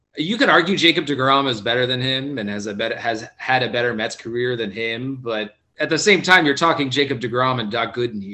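This is an ordinary speaking voice with an American accent. It moves at a fairly quick pace with ordinary pitch variation. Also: man. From South Florida. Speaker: podcast panelist. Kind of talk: casual chat.

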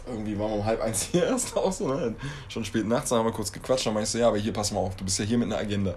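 Delivered at a very fast pace with ordinary pitch variation, the speech carries audible room echo. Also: man, fairly low pitch for a man. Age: 30s. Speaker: podcast co-host. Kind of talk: casual chat.

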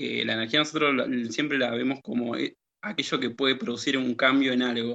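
An unremarkable speaking voice comes through with fairly even intonation. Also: man. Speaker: teacher and radio co-host. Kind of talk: educational radio chat.

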